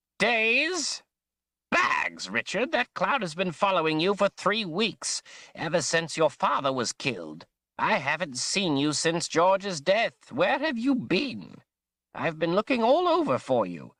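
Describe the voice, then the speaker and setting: On a very clean recording with a silent background, a man does a put-on character voice at a high pitch and a fairly slow pace. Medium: read story. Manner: animated, fussy.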